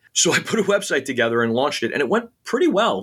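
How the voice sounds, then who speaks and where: A man talks very fast with lively intonation in an American accent. The recording is very clean, with a silent background. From New York City, Queens. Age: 50s. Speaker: comic book writer. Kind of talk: interview.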